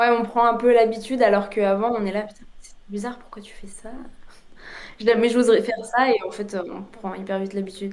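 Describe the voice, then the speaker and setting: Hardly pausing, the speaker goes at a moderate pace with monotone, flat intonation and big swings in loudness, amid noticeable background noise and audible room echo. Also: woman, fairly high pitch for a woman. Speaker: former exchange student. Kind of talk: casual podcast interview. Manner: hesitant, many fillers.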